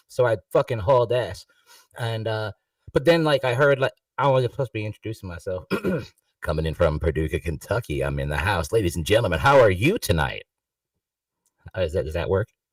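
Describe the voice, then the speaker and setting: In an American accent, a man speaks at a fairly quick pace and a fairly low pitch, with very wide pitch swings, vocal fry, and a dry, close sound with no echo. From New York. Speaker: musician joining an open online panel. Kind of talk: casual chat. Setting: online video livestream panel. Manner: rambling, halting with many fillers.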